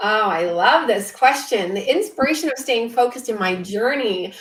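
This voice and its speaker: The speaker's intonation is lively, at a moderate pace. Noticeable background noise runs underneath. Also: woman. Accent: American. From US West Coast, Orange County, California. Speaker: author. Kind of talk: panel interview.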